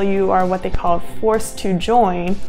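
Faint music plays in the background as a woman speaks at a fairly slow pace. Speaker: actor giving career advice. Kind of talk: tutorial. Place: home room.

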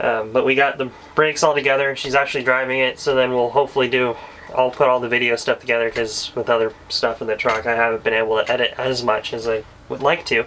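Light background noise plays under a man who talks fairly quickly with fairly even intonation. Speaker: podcast co-host. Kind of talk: casual podcast chat. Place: home room.

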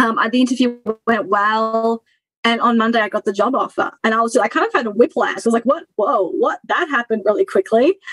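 With an Australian accent, a woman speaks at a fairly quick pace in a fairly high pitch, her intonation lively and the sound dry and close with no echo. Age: 30s. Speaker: former coaching client. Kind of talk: interview. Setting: video call.

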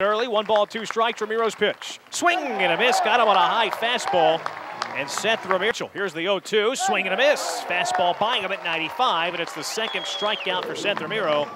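Over crowd noise, a man with a high-pitched voice speaks in an excited tone, raising and projecting his voice. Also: lively intonation. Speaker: baseball play-by-play announcer. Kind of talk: live baseball play-by-play commentary. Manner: rapid-fire, clipped and punchy, building to excited exclamations on big plays; animated, with a rising call on home runs and close plays.

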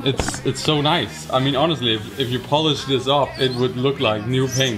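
A fairly quick pace with clear music in the background. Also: man. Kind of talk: casual vlog chat. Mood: enthusiastic, hyped. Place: garage. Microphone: phone near.

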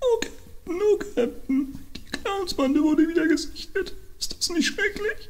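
An extremely high-pitched voice speaks at a fairly slow pace over clear background noise. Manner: anxious, fearful, pleading.

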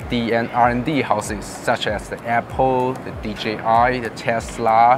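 Music plays behind a man as he talks. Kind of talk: interview answer. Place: hall. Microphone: lapel.

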